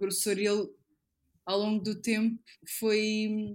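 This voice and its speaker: At a fairly slow pace, a woman talks. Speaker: illustrator and model. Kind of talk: casual chat.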